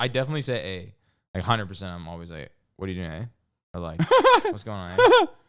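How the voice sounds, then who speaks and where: A man with a slight Vancouver accent and fairly low pitch, very fast pace, lively intonation and big swings in loudness, in a very clean recording with a silent background. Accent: light Vancouver Canadian. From Vancouver, Canada.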